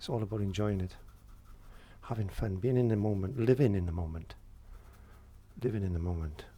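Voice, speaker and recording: A man talks at a fairly quick pace with a fairly low pitch, ordinary pitch variation and a dark, mellow, somewhat breathy tone. Long, frequent pauses break up his speech, and there is audible room echo. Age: 60s. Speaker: painting tutor and window cleaner. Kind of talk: painting tutorial chat. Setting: studio. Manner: halting.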